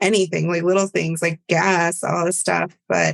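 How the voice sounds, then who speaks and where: Delivery comes at a moderate pace. The voice stays monotone and flat throughout. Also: woman. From Virginia, US (born in Bolivia). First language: Spanish. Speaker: public health advisor. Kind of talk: podcast interview.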